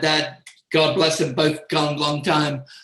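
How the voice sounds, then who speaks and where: Speaking at a fairly slow pace in a South London accent, a man with a fairly high pitch has a bright, sharp tone. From South London, England. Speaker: music industry manager. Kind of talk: interview. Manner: halting.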